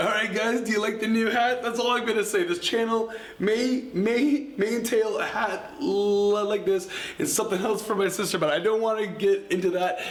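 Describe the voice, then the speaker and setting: A man's high-pitched voice at a moderate pace, with ordinary pitch variation and very even loudness, plus audible room echo and noticeable background noise. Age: 30s. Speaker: vegan YouTuber. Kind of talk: casual vlog talk to camera. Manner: halting, stuttering.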